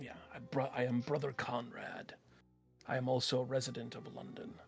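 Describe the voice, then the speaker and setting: Over faint background music, a man puts on a raspy character voice at medium pitch and a moderate pace. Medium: actual play. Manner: courteous, formal.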